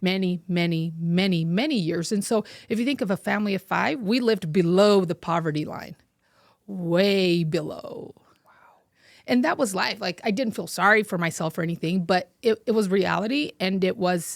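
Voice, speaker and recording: In a Portuguese accent, the speaker talks at a moderate pace with ordinary pitch variation, on a very clean recording with a silent background and a dry, close sound with no echo. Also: woman, medium pitch for a woman. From Brazil, raised in Utah from age 8. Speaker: fashion entrepreneur. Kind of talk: interview.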